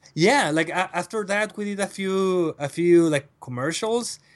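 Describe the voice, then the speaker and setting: A man with a Mexican accent against a quiet background. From northern Mexico, Reynosa. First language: Spanish. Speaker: wedding photographer. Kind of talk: casual interview. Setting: at home. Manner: halting.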